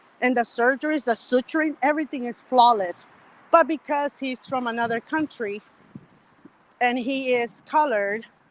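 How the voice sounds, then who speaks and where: A woman's high voice with a non-native accent and ordinary pitch variation, in a dry, close sound with no echo. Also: moderate pace. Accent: foreign accent, milder than some colleagues. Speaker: medical worker. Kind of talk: casual chat. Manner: animated.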